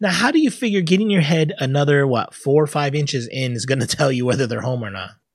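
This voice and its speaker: The tone is animated, with lively intonation. The pace is very fast, with hardly any pauses. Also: man, fairly high pitch for a man. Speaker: podcast host. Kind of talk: casual banter on comedy podcast. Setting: live online show. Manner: joking, animated.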